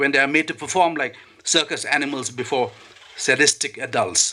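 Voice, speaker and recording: At a fairly quick pace, a man speaks in an unremarkable speaking voice with fairly even intonation. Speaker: poet reading his own poem. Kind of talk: poetry reading at a literary event.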